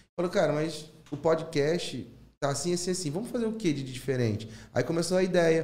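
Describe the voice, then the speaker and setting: Fairly quick and fairly high-pitched, a man talks in a plain, everyday voice. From Rio de Janeiro (São Cristóvão). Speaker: former teacher turned stand-up comedian. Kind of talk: casual chat.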